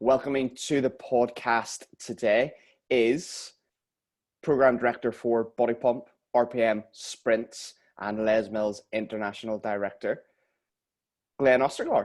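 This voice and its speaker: This man has a Northern Irish accent and a medium pitch. He talks at a fairly slow pace with long, frequent pauses. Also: fairly even intonation. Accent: Northern Irish (Belfast). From Northern Ireland, Belfast. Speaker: podcast host. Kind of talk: casual interview chat.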